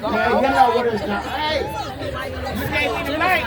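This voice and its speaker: Crowd noise fills the background as the voice moves at a very slow pace. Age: 80s+. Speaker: rally speaker, Medicaid recipient. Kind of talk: speech at a rally. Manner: halting.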